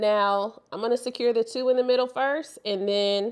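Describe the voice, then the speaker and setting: A woman with a St. Louis accent speaks fairly slowly in a fairly high pitch. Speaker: hair extensions vlogger. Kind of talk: tutorial. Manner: casual, conversational.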